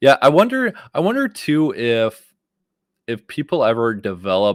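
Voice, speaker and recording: A man speaks at a fairly slow pace. The recording is very clean and dry, close with no echo and a silent background. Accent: Wisconsin. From Wisconsin, US. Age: 30s. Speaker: YouTube creator and live streamer. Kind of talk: live stream talk to viewers. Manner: casual, filler-heavy.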